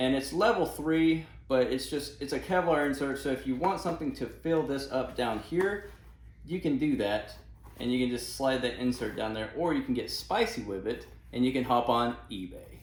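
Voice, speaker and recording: Room echo can be heard clearly. The man's delivery moves at a moderate pace. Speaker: gear reviewer. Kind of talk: tutorial. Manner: casual, with fillers and self-corrections.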